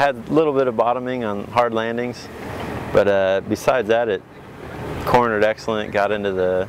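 Noticeable background noise around a man's dry sound with no echo. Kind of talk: interview answer. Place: open country.

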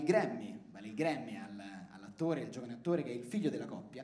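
A man talks at a very fast pace. The room echo is audible. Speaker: stand-up comedian. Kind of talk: stand-up comedy routine. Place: stage. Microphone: handheld.

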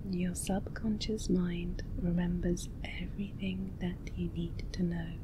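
A woman speaks at a very slow pace against noticeable background noise. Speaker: hypnosis and relaxation video creator. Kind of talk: guided hypnosis script for sleep.

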